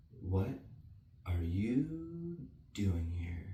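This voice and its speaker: A put-on character voice swings very widely in pitch, with a slight echo behind it. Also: man, very deep, low pitch for a man. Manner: slow, sleepy.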